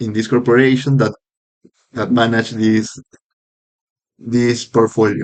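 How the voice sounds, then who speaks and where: A man talks at a medium pitch. His intonation stays monotone and flat. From Peru. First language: Spanish. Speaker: podcaster practicing English. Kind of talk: casual monologue podcast. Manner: halting, with fillers and self-corrections.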